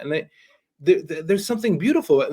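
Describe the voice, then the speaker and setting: This voice swings very widely in pitch and carries vocal fry. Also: man. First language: not English. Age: young. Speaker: podcast host. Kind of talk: interview conversation.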